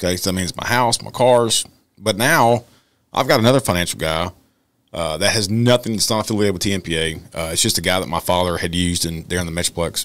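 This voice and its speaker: Ordinary pitch variation at a fairly quick pace. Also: man, very deep, low pitch for a man. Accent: Texan. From Texas. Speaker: podcast co-host, police officer; podcast host. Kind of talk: casual interview. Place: studio. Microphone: studio mic.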